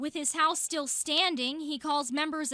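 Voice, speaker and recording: A woman's raised, projected voice carries a bright, sharp tone. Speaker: TV news reporter. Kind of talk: TV news report.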